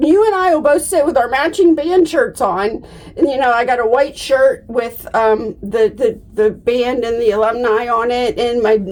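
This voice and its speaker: A woman speaks at a fairly slow pace in a high pitch with very wide swings. Noticeable background noise can be heard. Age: 50s. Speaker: denture vlogger. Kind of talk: casual vlog talk. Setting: bathroom.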